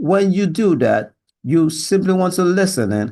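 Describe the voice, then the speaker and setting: Fairly slow speech from a man, high-pitched for a man, with ordinary pitch variation and a quiet background. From Nigeria. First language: Yoruba. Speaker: sales job applicant. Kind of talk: video job application. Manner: halting.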